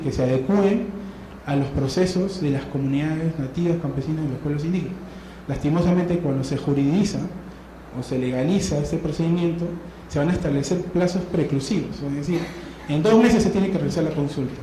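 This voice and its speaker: The man speaks at a fairly quick pace. Both room echo and noticeable background noise are audible. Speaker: lawyer, seminar speaker. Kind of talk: conference talk. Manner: fast.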